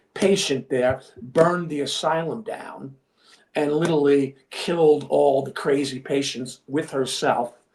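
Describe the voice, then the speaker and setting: Speaking in a Long Island accent, a man talks at a fairly slow pace. His pitch is fairly high, with ordinary pitch variation. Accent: New York (Long Island). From Long Island, New York. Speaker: filmmaker and actor. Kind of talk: casual chat.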